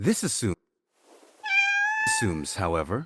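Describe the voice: A man's put-on character voice, low in pitch with very wide pitch swings, a fairly bright tone and a slightly husky edge, at a slow pace in a dry, close sound with no echo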